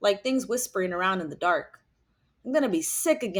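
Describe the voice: The background stays quiet. Over it comes plain reading aloud with lively intonation.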